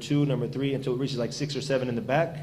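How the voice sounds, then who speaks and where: Amid noticeable background noise and audible room echo, a man talks very fast in a fairly high pitch with monotone, flat intonation. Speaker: Islamic preacher. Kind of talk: lecture. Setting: venue with audience and microphone. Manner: loud.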